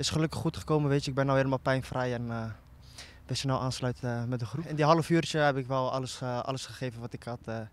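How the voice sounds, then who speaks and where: A man speaks with fairly even intonation. The sound is dry, with no echo. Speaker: footballer. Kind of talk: casual post-match interview. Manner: relaxed, casual, with filler words. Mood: calm, relieved. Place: open country. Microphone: handheld.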